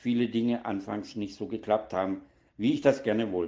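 A man's medium-pitched voice at a moderate pace. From Baden-Württemberg (Donaueschingen), southwest Germany. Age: 60s. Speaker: former nurse, recovering alcoholic, formerly homeless. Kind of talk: interview testimony. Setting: studio.

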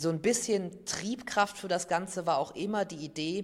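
A man speaks at a moderate pace in a high voice, keeping his intonation fairly even. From Aachen, western Germany. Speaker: author and teacher. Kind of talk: interview answers.

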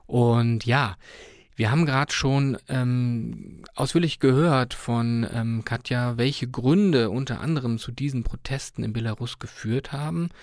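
A man with a plain, everyday voice talks at a medium pitch and a fairly slow pace, with ordinary pitch variation. The recording is very clean, and the background is silent. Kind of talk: radio interview. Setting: studio.

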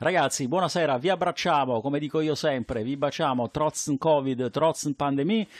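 A man speaks at a moderate pace with hardly any pauses, using a fairly high pitch and ordinary pitch variation. The background is quiet and the sound is dry and close, with no echo. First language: Italian (speaking German). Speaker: radio host. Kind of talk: casual chat. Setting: studio.

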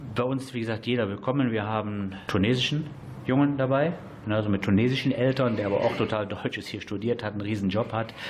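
Amid audible room echo, a man talks very fast with fairly even intonation. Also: medium pitch for a man. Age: 40s. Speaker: amateur football coach. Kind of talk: radio interview.

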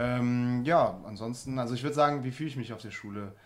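Medium in pitch with ordinary pitch variation, a man speaks at a very fast pace. Audible room echo surrounds his voice. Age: 30s. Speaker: vocational student. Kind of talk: radio interview. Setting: radio studio.

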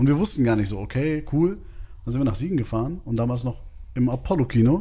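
A man speaks at a fairly quick pace with lively intonation and a somewhat breathy sound. Audible room echo surrounds his voice. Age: 30s. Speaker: film podcast co-host. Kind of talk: casual chat.

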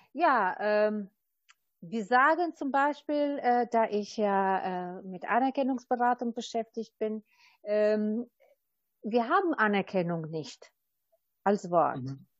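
A woman with an Albanian accent at a fairly high pitch, very wide pitch swings, a very slow pace, and long, frequent pauses. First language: Albanian (speaking German). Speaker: recognition counselor. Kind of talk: interview.

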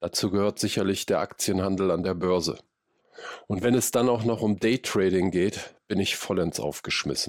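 Dry and close with no echo, the very clean recording has a silent background. A man speaks at a moderate pace with ordinary pitch variation. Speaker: podcast host. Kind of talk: casual interview; scripted narration. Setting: outdoors.

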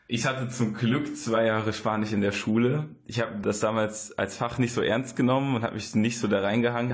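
Speaking at a fairly quick pace, a man holds a medium pitch with monotone, flat intonation. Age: 20s. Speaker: student, former volunteer in Guatemala. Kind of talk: radio interview.

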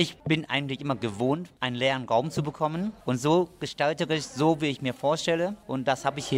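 On a very clean recording with a silent background, a man with an unremarkable speaking voice talks with ordinary pitch variation. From Asia. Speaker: restaurateur. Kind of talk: interview.

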